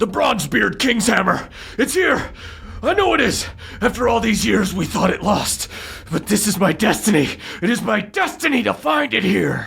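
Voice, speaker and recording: A put-on character voice, fairly high in pitch, at a moderate pace over light background noise. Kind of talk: game-master role-play narration. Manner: loud, obsessive, ranting.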